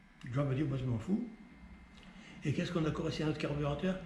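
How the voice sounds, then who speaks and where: Noticeable background noise under a man's fairly quick talk, his pitch varying in an ordinary way. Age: 80s+. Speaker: mechanic. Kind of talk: interview answer.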